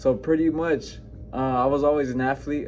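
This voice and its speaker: With music playing behind him, a man speaks at a fairly slow pace in an American accent. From New Mexico, US. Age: 20s. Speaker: fitness coach. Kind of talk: personal story vlog. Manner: casual, halting with fillers.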